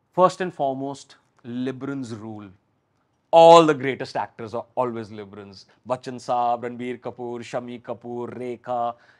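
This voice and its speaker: The man's pitch varies by an ordinary amount. The background is quiet. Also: moderate pace, big swings in loudness. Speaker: TV and film actor; actor guest. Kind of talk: interview; interview answer. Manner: talkative. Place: studio. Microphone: lapel.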